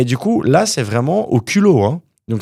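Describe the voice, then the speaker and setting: At a moderate pace, a man speaks in a dark, mellow tone on a very clean recording with a silent background. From Quebec, Montreal (born in Wallonia, Belgium, moved at 9). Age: 30s. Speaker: property developer, entrepreneur. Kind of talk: interview conversation.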